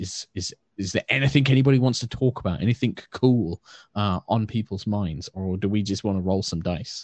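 Fairly low pitch from a man at a fairly quick pace, with ordinary pitch variation. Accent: British. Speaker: dungeon master.

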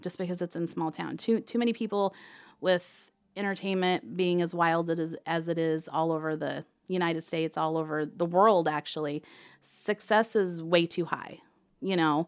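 A woman with a fairly low pitch uses a normal speaking voice on a very clean recording with a silent background. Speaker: towing company owner. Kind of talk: interview. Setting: studio.

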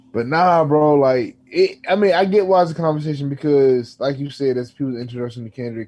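A man with a dark, mellow tone and a fairly high pitch speaks at a fairly quick pace. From US, DC area. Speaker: podcast co-host. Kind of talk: casual chat.

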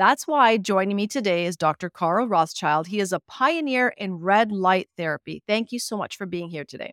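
A woman's ordinary speaking voice, medium in pitch with lively intonation, moderate pace and hardly any pauses, dry and close with no echo. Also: very clean recording, silent background. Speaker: radio host. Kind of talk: radio interview. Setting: radio studio.

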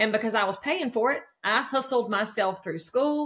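Speaking fairly quickly, a woman with a Southern US accent has a fairly high pitch. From North Carolina, near Charlotte. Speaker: real estate broker. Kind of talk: interview.

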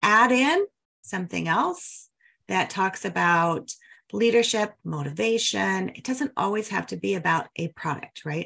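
A bright, sharp-toned voice with lively intonation and vocal fry moves at a fairly slow pace over a quiet background. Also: woman, medium pitch for a woman. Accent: American. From Denver, Colorado. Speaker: podcast host, mortgage marketing coach. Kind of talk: casual interview.

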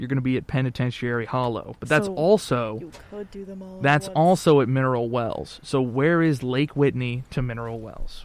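A man speaks at a fairly slow pace with lively intonation and hardly any pauses. Music plays in the background. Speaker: podcast host. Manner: casual, conversational.

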